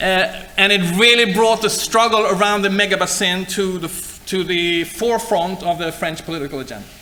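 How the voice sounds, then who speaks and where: Over noticeable background noise, a man talks at a moderate pace with hardly any pauses, his raised, projected voice high in pitch and fairly even in intonation. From Sweden. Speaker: university lecturer. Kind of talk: lecture. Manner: halting.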